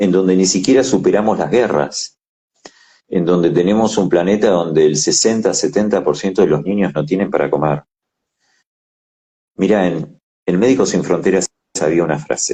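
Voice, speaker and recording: A man with a very deep, low pitch and a dark, mellow tone talks at a moderate pace, with ordinary pitch variation and long, frequent pauses. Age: 60s. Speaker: ophthalmologist. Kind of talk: interview.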